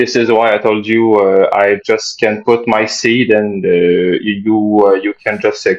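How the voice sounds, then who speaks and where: A man speaks at a fairly slow pace in a Quebec accent. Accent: French Canadian accent in English. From Quebec, French Canada. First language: French. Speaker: caller. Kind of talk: call-in chat. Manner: halting, many fillers.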